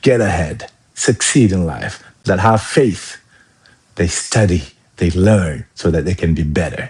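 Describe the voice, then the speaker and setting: A man speaks with a very deep, low pitch and ordinary pitch variation, somewhat breathy. He moves at a fairly slow pace with long, frequent pauses. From Senegal. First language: not English. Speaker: life coach and former army officer. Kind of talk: live-stream motivational talk. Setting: live stream with viewer comments. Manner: animated.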